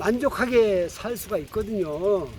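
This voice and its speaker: A man with a high pitch and lively intonation at a very slow pace. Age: 70s. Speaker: vlogger. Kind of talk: casual vlog talk. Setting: outdoors riding a bicycle.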